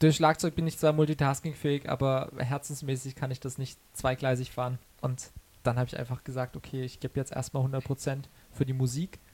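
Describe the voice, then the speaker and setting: Somewhat breathy, a man speaks at a moderate pace and a medium pitch. His intonation is monotone and flat. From Karlsruhe, Baden, southwest Germany. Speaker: singer-songwriter. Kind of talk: interview. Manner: hesitant with many fillers.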